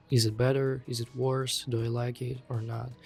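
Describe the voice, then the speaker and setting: A non-native accent at a fairly slow pace, with music in the background. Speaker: freelance digital artist. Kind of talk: casual product review to camera.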